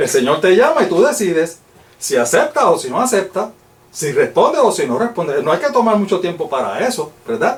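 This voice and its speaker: A man's high voice moves at a fairly quick pace with very wide pitch swings. Noticeable background noise is present. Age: 60s. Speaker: lay Bible teacher. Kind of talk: Bible study lecture.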